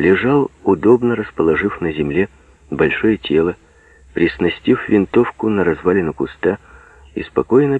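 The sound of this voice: Lively intonation shapes this unforced reading voice.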